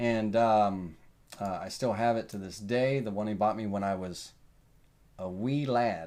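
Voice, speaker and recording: A man talks at a fairly slow pace with fairly low pitch. His intonation is fairly even, and audible room echo surrounds him. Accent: Southern US. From US South. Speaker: woodworking software instructor. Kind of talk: tutorial. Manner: casual, thinking aloud with fillers.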